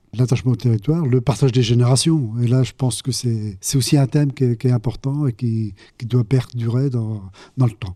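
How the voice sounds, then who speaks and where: This voice has a dark, mellow tone, sounds somewhat breathy, and moves at a fairly quick pace with fairly even intonation. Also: man, medium pitch for a man. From Normandy, Cotentin. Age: 70s. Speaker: amateur trumpet player. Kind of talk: interview testimony. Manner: halting.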